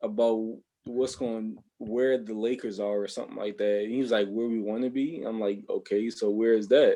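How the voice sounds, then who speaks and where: With a Baltimore accent, a man talks at a moderate pace in a medium pitch, his intonation fairly even and his tone dark and mellow. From Baltimore, Maryland, US. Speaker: podcast host. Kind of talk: casual chat.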